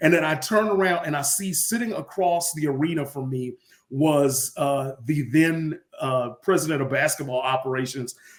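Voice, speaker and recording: A man in a plain, everyday voice speaks at a moderate pace and fairly high pitch with ordinary pitch variation. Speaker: stadium public address announcer. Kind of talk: interview answer, casual conversational storytelling.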